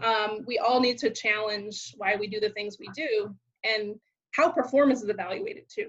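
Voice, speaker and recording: With big swings in loudness, a woman speaks in an unremarkable speaking voice at a fairly high pitch. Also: ordinary pitch variation, moderate pace. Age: 30s. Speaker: podcast host. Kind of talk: interview. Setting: video call.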